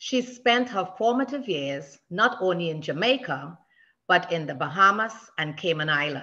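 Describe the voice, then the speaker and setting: A woman's medium-pitched voice with a bright, sharp tone, very wide pitch swings and a moderate pace, over a quiet background. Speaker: church member. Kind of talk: speaker introduction. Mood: warm, affectionate, light humor. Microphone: video call.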